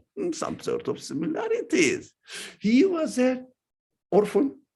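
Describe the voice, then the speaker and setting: The speaker has a strong non-native accent. The pace is very slow, with very wide pitch swings. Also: man. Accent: heavy foreign accent, often taken for Iranian. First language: not English. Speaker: religious teacher. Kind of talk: lecture. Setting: talk to a live audience, also streamed. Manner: halting.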